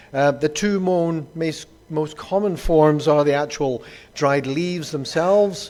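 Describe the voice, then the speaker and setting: In a Glasgow accent, a man talks at a fairly slow pace, his fairly high pitch held in fairly even intonation. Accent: Scottish (Glasgow). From Scotland, Glasgow. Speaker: doctor, pain medicine consultant. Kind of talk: conference lecture. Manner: hesitant with frequent fillers.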